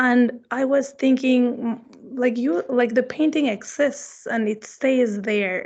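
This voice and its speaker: A woman speaks at a very slow pace in a high pitch with ordinary pitch variation. The background is quiet. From Mexico, Mexico City. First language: Spanish. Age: 30s. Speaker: visiting artist. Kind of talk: artist talk Q&A.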